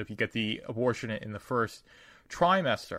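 On a very clean recording with a silent background, a man talks at a fairly quick pace with a fairly low pitch and a bright, sharp tone. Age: 20s. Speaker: podcast host and novelist. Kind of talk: casual chat. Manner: halting, many fillers.

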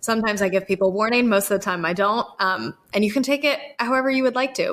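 A woman speaks at a fairly quick pace with an American accent, in an unremarkable speaking voice at medium pitch with ordinary pitch variation. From North Carolina (Appalachian foothills). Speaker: podcast host, folklorist. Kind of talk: casual interview conversation; scripted narration.

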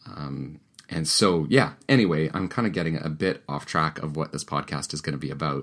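A man speaks with a very deep, low pitch and lively intonation. Vocal fry runs through his voice. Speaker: pastor and author, podcast host. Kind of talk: reading aloud from his own book; casual monologue. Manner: hesitant, many fillers.

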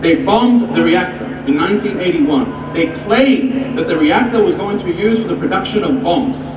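Noticeable background noise sits behind a man speaking at a moderate pace, his high voice moving through very wide pitch swings. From North Lebanon. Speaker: rally speaker and student activist. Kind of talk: fiery rally speech to a crowd, mixing history lecture with political rhetoric. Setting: outdoor protest rally, live crowd. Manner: impassioned; emphatic, declamatory, repeating phrases for effect.

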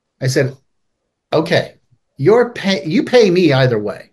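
A somewhat breathy man with an American accent. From California (Palo Alto). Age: 50s. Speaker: addiction recovery author and founder. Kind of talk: interview.

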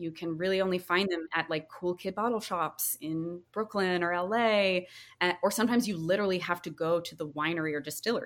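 In an American accent, a woman uses an ordinary speaking voice at a fairly low pitch with ordinary pitch variation. She moves at a fairly quick pace on a very clean recording with a silent background. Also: hardly any pauses. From rural North Carolina, US South. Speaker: drinks brand founder. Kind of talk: interview. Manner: casual, uses many fillers.

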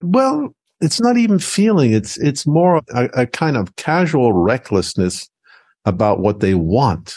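Against a quiet background, the voice makes very wide pitch swings. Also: man, dry, close sound with no echo. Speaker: philosopher and former professor. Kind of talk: casual chat. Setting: video call.

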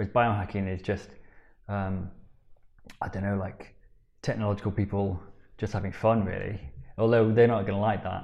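A man with a Yorkshire accent, fairly low in pitch and monotone, broken by long, frequent pauses. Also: moderate pace. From Yorkshire, Sheffield. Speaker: biohacking coach. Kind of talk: casual interview. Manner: halting.

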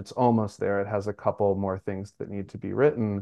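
An American accent from a man with a dark, mellow tone. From US Northeast, Brooklyn, New York. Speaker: writer and preschool teacher. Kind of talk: interview.

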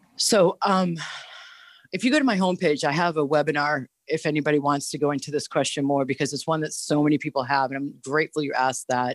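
A woman with an American accent speaks very fast in a very deep, low voice, her pitch varying in an ordinary way over a dry, close sound with no echo. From Boston, US. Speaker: holistic health teacher. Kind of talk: casual interview. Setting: remote audio-only call.

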